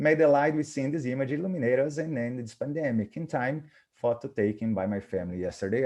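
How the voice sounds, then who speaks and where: Speaking very fast with hardly any pauses, a man with a Portuguese accent has a dark, mellow tone, a medium pitch and ordinary pitch variation. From Brazil. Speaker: professor of cardiac rehabilitation. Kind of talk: webinar presentation. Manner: halting.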